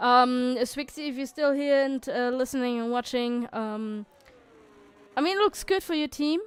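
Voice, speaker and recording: The recording is very clean, with a silent background. A woman with a non-native accent speaks at a moderate pace with ordinary pitch variation. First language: not English. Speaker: sim racing league commentator. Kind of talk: live commentary. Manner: halting, many fillers and restarts.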